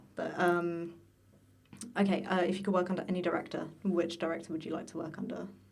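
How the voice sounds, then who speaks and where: A woman talks very fast in a fairly low pitch with monotone, flat intonation, and audible room echo fills the recording. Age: 20s. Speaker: student podcast host, voice acting student. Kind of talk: casual chat. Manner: hesitant, many fillers.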